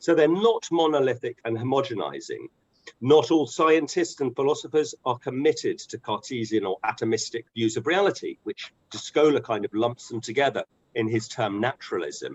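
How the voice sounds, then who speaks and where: This man's voice sits fairly high, and his intonation is lively. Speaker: academic presenter. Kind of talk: lecture. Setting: video call. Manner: fast.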